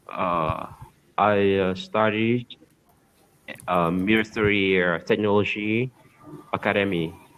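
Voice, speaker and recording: Speaking very slowly with a Vietnamese accent, a man uses a fairly low pitch and fairly even intonation, leaving long, frequent pauses. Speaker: army officer, English learner. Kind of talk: casual conversation lesson. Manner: halting.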